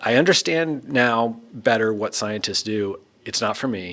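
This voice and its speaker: A man with a normal speaking voice, medium pitch and ordinary pitch variation, at a moderate pace. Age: 40s. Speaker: physicist and former professor. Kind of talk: casual conversation interview. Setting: recording booth at a university.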